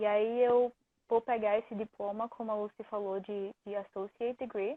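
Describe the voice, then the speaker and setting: This woman talks at a moderate pace in a monotone, flat delivery with fairly high pitch. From Recife, northeastern Brazil. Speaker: student athlete. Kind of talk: interview. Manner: halting.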